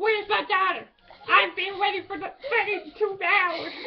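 A female-sounding put-on character voice at an extremely high pitch speaks at a fairly slow pace over light background noise. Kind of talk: impression, acknowledged as bad. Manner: anxious, impatient.

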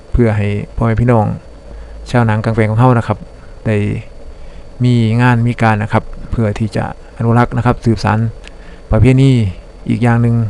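The voice comes in an Isan accent. Its intonation is flat and monotone. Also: man, medium pitch for a man. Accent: Isan (northeastern Thai). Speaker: YouTube channel narrator. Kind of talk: narrated video review. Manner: polite, steady with frequent filler particles.

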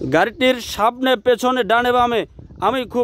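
This man's voice sits at an extremely high pitch, and the sound is dry with no echo. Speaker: used car seller. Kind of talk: sales walkaround commentary. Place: street.

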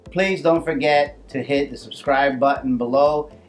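A man's fairly even intonation sits over faint music in the background. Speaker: cooking channel host. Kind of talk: cooking show intro. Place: kitchen.

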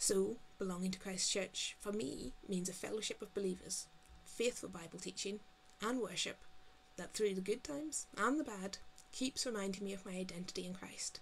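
This woman has a Northern Irish accent and a medium pitch, speaking at a moderate pace. Light background noise is present. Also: ordinary pitch variation. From Northern Ireland. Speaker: GP and church member. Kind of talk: testimony. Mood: calm, sincere, reflective. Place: home room. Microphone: webcam.

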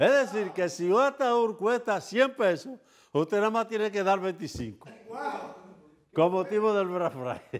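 Pitched high, a man with a Dominican accent speaks at a fairly slow pace in an animated tone. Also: lively intonation. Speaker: TV show host and commentator. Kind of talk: casual talk show commentary.

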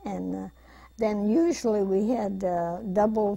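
A dark, mellow, somewhat breathy tone moves at a very slow pace over a quiet background. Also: woman. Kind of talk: interview answer. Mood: reminiscent, calm. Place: studio.

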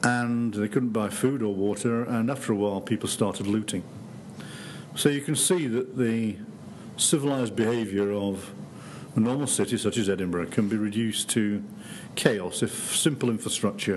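A man at a moderate pace, ordinary pitch variation, light background noise. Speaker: professor giving public lecture. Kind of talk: lecture. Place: hall.

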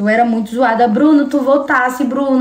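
Over noticeable background noise, a woman speaks at a fairly quick pace in a monotone, flat intonation. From Brazil, São Paulo coast (Guarujá). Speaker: livestreamer. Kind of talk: casual livestream chat with viewers. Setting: live stream.

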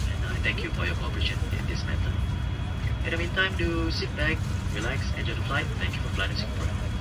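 Over loud background noise, a man talks at a very fast pace. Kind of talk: PA announcement. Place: plane.

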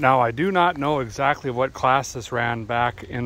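At a moderate pace, a man speaks with medium pitch and ordinary pitch variation. The sound is dry with no echo. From US South. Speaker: car restoration YouTuber. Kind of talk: casual workshop vlog narration. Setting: outdoors at a racetrack. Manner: animated, folksy humor. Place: open country.

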